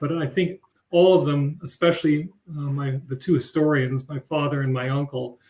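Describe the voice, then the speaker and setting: A man speaks at a moderate pace in a fairly high pitch and a somewhat breathy voice. His intonation stays fairly even. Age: 70s. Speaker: family member of museum founders. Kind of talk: panel discussion. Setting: live stream video event. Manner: halting.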